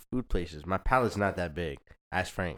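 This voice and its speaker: Speaking at a fairly quick pace, a man with a very deep, low pitch is heard on a very clean recording with a silent background. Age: young. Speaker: younger brother of a host. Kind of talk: casual chat.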